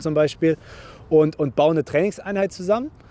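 With a dark, mellow tone and a fairly high pitch, a man talks at a fairly quick pace with ordinary pitch variation.

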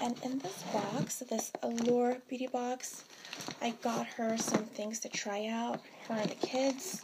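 Loud background noise surrounds a woman's voice. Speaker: vlogger. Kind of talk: casual vlog chat. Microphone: phone near.

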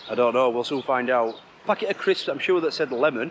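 Noticeable background noise sits under a man talking with lively intonation. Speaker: travel vlogger. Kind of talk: casual vlog chat. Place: street. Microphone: phone near.

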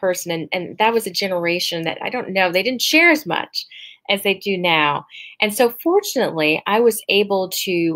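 A natural voice, reading aloud

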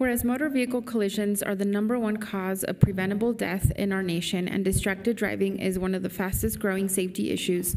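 The voice belongs to a woman. She keeps up a fairly quick pace. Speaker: council member. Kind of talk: formal proclamation reading. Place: hall. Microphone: podium.

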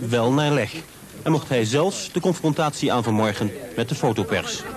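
Lively intonation from a man at medium pitch, moderate pace, noticeable background noise. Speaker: news reporter. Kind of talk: 1980s TV news report, scripted voice-over. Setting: outdoors report with voice-over over footage. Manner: formal, measured, even-toned newsreader delivery.

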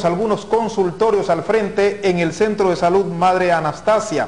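At a moderate pace, a man with a high pitch talks with fairly even intonation. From Ecuador. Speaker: news anchor. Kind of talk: news reading. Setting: TV studio. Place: studio. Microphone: lapel.

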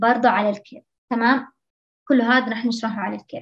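Her voice high in pitch, a woman talks at a fairly quick pace with fairly even intonation. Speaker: medical student tutor. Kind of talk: lecture.

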